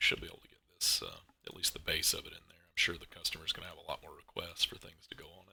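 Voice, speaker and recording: Mumbling at a very fast pace, a man barely pauses at all. His loudness swings widely. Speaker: car mod creator streaming his work. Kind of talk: live stream tutorial. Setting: live stream at computer. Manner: casual.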